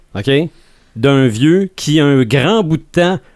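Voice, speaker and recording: A man is speaking. His voice sits fairly high, with ordinary pitch variation. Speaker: podcast host. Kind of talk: casual chat. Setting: studio.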